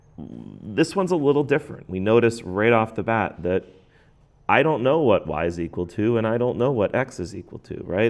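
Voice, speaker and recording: Over a quiet background, a man with an ordinary speaking voice talks at a fairly quick pace, his fairly low pitch carrying lively intonation. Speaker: math teacher. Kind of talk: tutorial.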